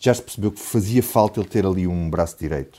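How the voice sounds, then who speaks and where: A man speaks with a very deep, low pitch in a dark, mellow tone. His intonation stays fairly even. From Portugal, Alentejo (Grândola). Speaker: political journalist. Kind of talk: radio panel discussion.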